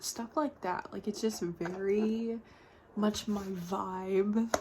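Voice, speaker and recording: Soft-spoken and at a very slow pace, a woman talks with fairly even intonation over noticeable background noise. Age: 20s. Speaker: art vlogger. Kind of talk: casual chat.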